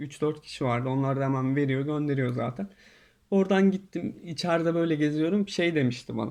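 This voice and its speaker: The pace is moderate and the pitch variation ordinary. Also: man, fairly high pitch for a man. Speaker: YouTuber. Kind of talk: casual storytelling monologue. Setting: in quarantine hotel room.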